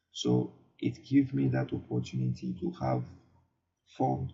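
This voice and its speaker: A man talks with a non-native accent. His pace is fairly slow. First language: not English. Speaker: online marketing youtuber. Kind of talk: casual tutorial to camera. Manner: halting, many fillers and repeats.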